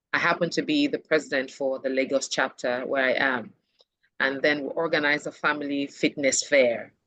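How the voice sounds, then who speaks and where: At a fairly quick pace, a woman talks with a very deep, low pitch and very even loudness. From Nigeria, Urhobo, Delta State. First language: Urhobo. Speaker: HR professional. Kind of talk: interview. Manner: animated.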